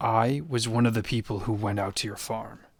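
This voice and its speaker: On a very clean recording with a silent background, a man puts on a raspy character voice at medium pitch, moderate pace and fairly even intonation. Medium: read story. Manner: firm, steady, fatherly.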